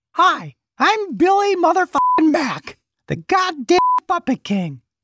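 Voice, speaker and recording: A put-on character voice at an extremely high pitch, delivered at a fairly slow pace. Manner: boastful, vulgar.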